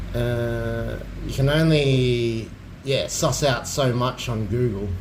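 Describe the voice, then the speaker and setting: A man with an Australian accent speaks at a very slow pace. Noticeable background noise and audible room echo fill the recording. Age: 40s. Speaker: streamer. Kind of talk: casual chat.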